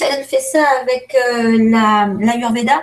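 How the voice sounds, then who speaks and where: A woman speaks at a fairly high pitch. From France. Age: 50s. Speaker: aromatherapist. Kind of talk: interview. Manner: hesitant, many fillers.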